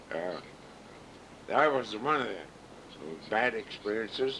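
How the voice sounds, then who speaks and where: A man with a Midwestern US accent. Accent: rural Midwestern American. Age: 70s. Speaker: father recording family memories. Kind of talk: oral history recording. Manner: relaxed, hesitant with fillers.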